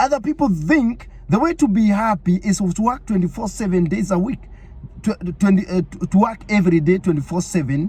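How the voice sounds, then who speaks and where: The speaker has an animated tone and keeps a moderate pace. Noticeable background noise is present. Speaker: online preacher. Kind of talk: sermon.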